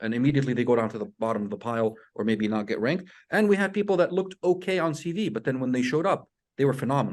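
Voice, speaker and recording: A man talking very fast with a non-native accent and lively intonation. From outside US, international medical graduate. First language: not English. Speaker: residency program director. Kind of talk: webinar advice talk. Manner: relaxed, conversational.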